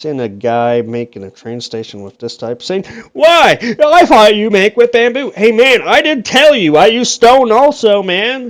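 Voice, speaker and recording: Hardly any pauses break the man's speech. He talks at a fairly slow pace. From Canada. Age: 20s. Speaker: gaming YouTuber. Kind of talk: casual gameplay commentary. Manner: rambling, conversational.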